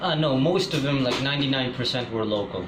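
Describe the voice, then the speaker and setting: There is audible room echo and noticeable background noise as a man talks with ordinary pitch variation. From Pakistan. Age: 20s. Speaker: interviewee. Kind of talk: interview. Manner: halting.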